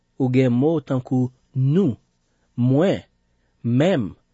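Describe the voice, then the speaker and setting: A man speaks with a Haitian accent. His voice sits at a medium pitch. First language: Haitian Creole (speaking French). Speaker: radio Bible teacher. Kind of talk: Bible teaching broadcast.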